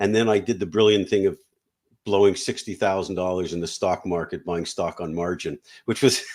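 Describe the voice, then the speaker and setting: In a plain, everyday voice, a man talks at a fairly quick pace with a fairly low pitch and fairly even intonation, the recording very clean with a silent background. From Canada. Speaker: business buyer and M&A advisor. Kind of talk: interview.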